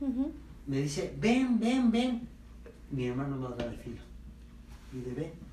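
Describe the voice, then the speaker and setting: With audible room echo and noticeable background noise, a man talks at a fairly slow pace, leaving long, frequent pauses. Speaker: family member guest. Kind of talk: storytelling.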